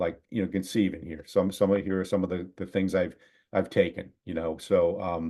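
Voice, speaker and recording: A man talks at a fairly quick pace in a very deep, low voice with a dark, mellow tone and flat, monotone intonation. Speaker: marketing workshop presenter. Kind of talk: online workshop presentation. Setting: video call. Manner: halting with many repetitions and fillers.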